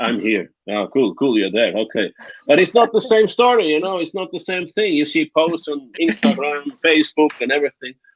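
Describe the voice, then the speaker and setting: At a moderate pace, a man with a Swiss German accent speaks at a fairly high pitch, with vocal fry and very wide pitch swings. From Switzerland, Bernese Oberland. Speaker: guest on live discussion panel. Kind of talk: casual chat. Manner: halting.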